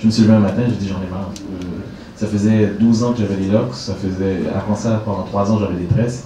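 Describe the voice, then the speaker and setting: Over noticeable background noise, a man with a fairly low pitch talks at a fairly quick pace in a monotone, flat intonation. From Quebec, Canada. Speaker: stand-up comedian. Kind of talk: interview answer. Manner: casual, joking.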